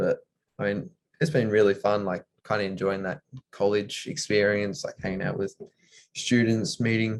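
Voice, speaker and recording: Fairly quick, fairly even delivery with an Australian accent. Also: man. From Australia (Tasmania). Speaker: college basketball player. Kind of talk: interview. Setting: video call.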